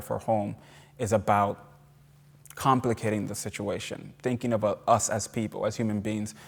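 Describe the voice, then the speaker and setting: On a very clean recording with a silent background, a man with a Puerto Rican accent speaks at a moderate pace, fairly low in pitch and monotone in intonation. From Puerto Rico. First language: Spanish. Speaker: novelist and professor. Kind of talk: lecture Q&A answer. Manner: halting, many repetitions.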